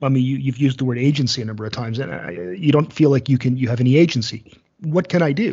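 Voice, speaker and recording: A very fast, somewhat breathy male voice. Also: medium pitch for a man, ordinary pitch variation. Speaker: podcast host. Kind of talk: casual chat.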